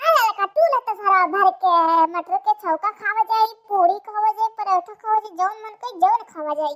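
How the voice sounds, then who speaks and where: In a cartoonish character voice, a woman speaks at an extremely high pitch and a moderate pace, with ordinary pitch variation and big swings in loudness. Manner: folksy, colloquial.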